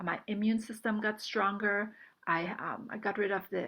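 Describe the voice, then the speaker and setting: At a moderate pace, a woman of medium pitch uses fairly even intonation in a normal speaking voice. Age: 60s. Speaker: retired nurse, supplement distributor. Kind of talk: testimony and product presentation.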